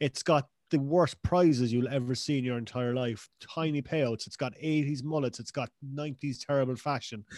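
With a Cork accent, a man speaks at a fairly high pitch with fairly even intonation, in a dry, close sound with no echo and a quiet background. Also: moderate pace. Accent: Cork Irish. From Cork, Ireland. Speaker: podcast guest. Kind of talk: casual chat.

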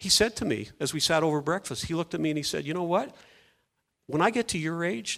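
A man with an unremarkable speaking voice talks at a fairly quick pace with lively intonation and a fairly high pitch, on a very clean recording with a silent background. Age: 60s. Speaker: pastor. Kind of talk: sermon. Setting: church.

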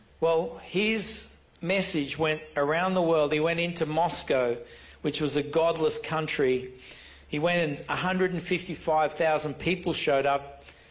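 A man with an Australian accent, fairly high pitch, and fairly even intonation, at a very slow pace with audible room echo. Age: 60s. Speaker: pastor. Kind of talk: sermon.

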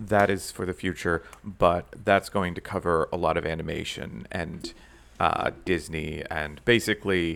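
Here a man with a very deep, low pitch and a bright, sharp tone speaks with ordinary pitch variation. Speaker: podcast co-host, YouTube video essayist. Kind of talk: casual chat. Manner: puts on a mock radio voice at the start.

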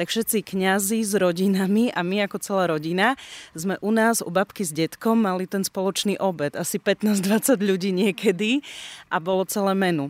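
This woman has an ordinary speaking voice at a medium pitch and a moderate pace. The recording is very clean with a silent background, and the sound is dry and close with no echo. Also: fairly even intonation. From northeastern Slovakia, Rusyn village. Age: 30s. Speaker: radio presenter. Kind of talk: casual chat.

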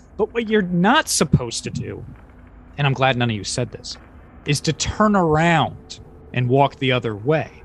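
The pitch swings very widely. Delivery comes at a moderate pace and sounds somewhat breathy. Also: man, fairly high pitch for a man. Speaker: podcast host. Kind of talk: casual chat. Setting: video call. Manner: animated.

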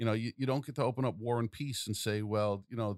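Speaking at a fairly quick pace, a man with a New York accent uses a medium pitch and ordinary pitch variation. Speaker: podcast host. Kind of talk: casual interview.

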